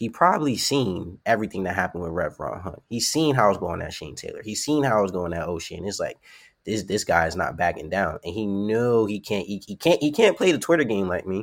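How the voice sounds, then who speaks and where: A man with a New York accent, fairly low-pitched and lively in intonation, at a fairly quick pace with hardly any pauses. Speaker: professional wrestler. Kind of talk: casual interview. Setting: podcast interview.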